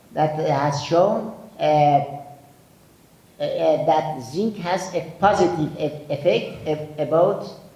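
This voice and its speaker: A man's fairly high-pitched voice at a very slow pace, fairly even intonation, and audible room echo. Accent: strong eastern Iranian. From Iran, Zabol (Sistan and Baluchestan). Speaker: physician and nutrition researcher. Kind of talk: conference lecture. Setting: conference hall with audience. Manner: halting with many fillers.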